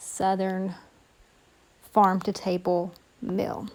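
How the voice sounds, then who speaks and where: Dark, mellow tone from a woman at medium pitch. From Appalachia. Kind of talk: cooking tutorial voice-over.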